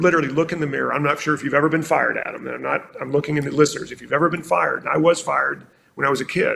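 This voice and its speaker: Very fast delivery with hardly any pauses. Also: man. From South Carolina, US South. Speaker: marketing executive. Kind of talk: podcast interview. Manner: animated.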